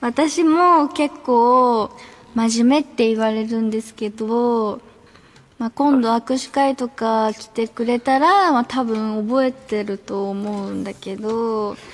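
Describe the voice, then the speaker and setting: A woman's fairly high voice in a Fukuoka accent, very slow in pace, with ordinary pitch variation. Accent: Hakata dialect. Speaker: idol group member. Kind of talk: radio show fan appeal. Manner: sweet, cute. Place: studio.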